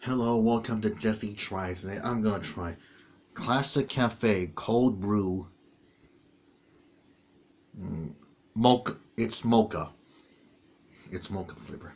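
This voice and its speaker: The pace is very slow, with long, frequent pauses. Loudness swings a lot while pitch varies in an ordinary way. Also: man, fairly low pitch for a man. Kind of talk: casual vlog chat. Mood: disgusted after tasting. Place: home room. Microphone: webcam.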